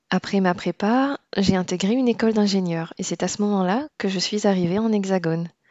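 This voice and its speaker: A woman with an unremarkable speaking voice talks fairly quickly at a medium pitch, with ordinary pitch variation and hardly any pauses. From Réunion. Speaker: podcast host, engineer. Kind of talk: scripted narration.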